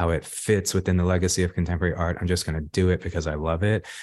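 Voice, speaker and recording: On a very clean recording with a silent background, a man talks at a very deep, low pitch. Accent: Californian. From Los Angeles, South Central. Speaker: artist. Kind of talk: interview. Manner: halting, many fillers.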